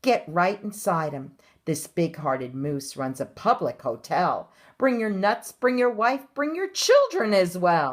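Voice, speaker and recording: This put-on character voice moves at a fairly slow pace, its pitch swinging very widely up and down. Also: woman, medium pitch for a woman. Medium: read story. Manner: loud, demanding.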